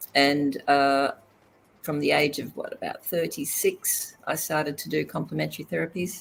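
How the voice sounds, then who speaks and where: The pace here is moderate. It is a woman talking in an Australian accent. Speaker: complementary therapist and healer. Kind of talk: interview.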